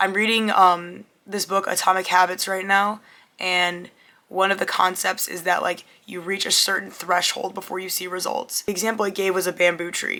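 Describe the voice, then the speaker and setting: A woman speaks at a medium pitch and moderate pace with monotone, flat intonation. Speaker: content creator. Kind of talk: casual talk to camera.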